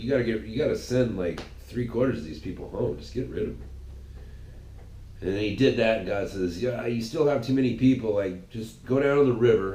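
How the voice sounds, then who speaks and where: Big swings in loudness stand out against audible room echo. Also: man, medium pitch for a man. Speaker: podcast host. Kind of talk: casual monologue. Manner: animated; halting, many repetitions.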